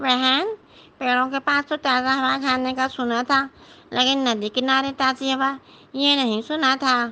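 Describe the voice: A female-sounding, cartoonish character voice talks high and fairly slowly. The background is quiet.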